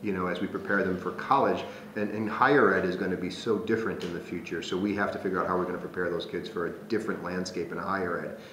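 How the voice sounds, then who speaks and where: A man with an American accent, very deep and low-pitched, at a very fast pace with hardly any pauses and fairly even intonation, amid noticeable background noise and audible room echo. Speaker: Jesuit priest and school president. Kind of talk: interview. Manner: hesitant, many fillers.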